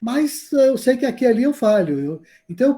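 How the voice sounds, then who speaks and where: This man has a dark, mellow tone. He speaks at a moderate pace with very wide pitch swings. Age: 60s. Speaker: university meditation teacher. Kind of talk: lecture. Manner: casual, conversational.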